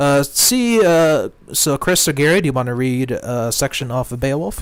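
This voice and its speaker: A quiet man speaks at a fairly slow pace with a fairly high pitch. His intonation is lively. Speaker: Tolkien society member. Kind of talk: casual chat.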